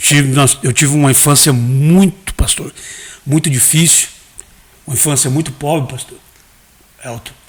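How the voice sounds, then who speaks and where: A man's fairly high voice at a moderate pace, with ordinary pitch variation, big swings in loudness, long, frequent pauses and noticeable background noise. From Brazil, Mato Grosso. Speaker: pastor and hairdresser. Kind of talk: interview, testimony.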